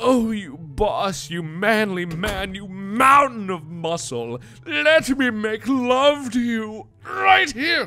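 A man's put-on character voice, high in pitch and very slow in pace. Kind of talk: comic overacting. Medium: game stream. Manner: mock-seductive, teasing.

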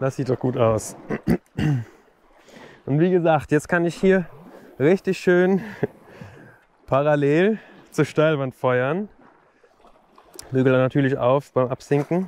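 A man's very slow speech with long, frequent pauses, ordinary pitch variation and a dry sound with no echo. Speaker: presenter. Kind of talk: casual vlog chat. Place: waterside. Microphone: phone near.

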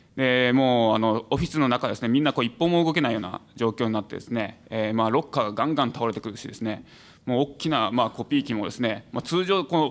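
A man at a medium pitch with ordinary pitch variation, at a very fast pace. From Saitama, Japan. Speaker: venture support organization head; panelist. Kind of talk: panel discussion. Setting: stage with audience. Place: hall. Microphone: podium.

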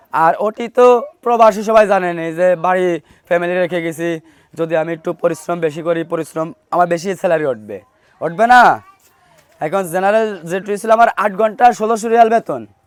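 This man's voice sits high in pitch. It varies in pitch an ordinary amount. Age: 20s. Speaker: returned migrant worker. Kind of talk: testimony. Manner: halting.

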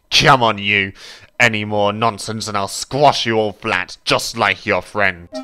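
A man puts on a growling character voice, fairly low in pitch, at a fairly slow pace with fairly even intonation. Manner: furious, growling, threatening.

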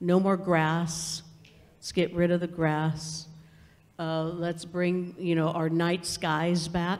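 A woman speaks very slowly in a fairly low pitch. Her intonation is monotone and flat. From California, Ventura County (Ojai area); California. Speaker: Chumash cultural educator. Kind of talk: panel discussion. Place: hall.

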